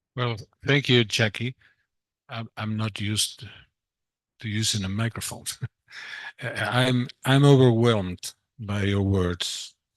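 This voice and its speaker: Against a quiet background with a dry, close sound and no echo, a man with a Spanish accent talks at a fairly slow pace and medium pitch, his intonation fairly even and broken by long, frequent pauses. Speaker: doctor. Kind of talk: conference remarks. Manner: halting.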